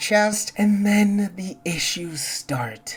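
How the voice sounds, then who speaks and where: Music plays in the background while a woman talks. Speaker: gaming video essayist. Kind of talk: video game review narration. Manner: casual, humorous.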